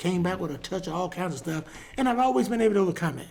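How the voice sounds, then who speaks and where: High pitch for a man, from a male speaker. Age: 60s. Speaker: pastor. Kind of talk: casual chat. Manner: halting.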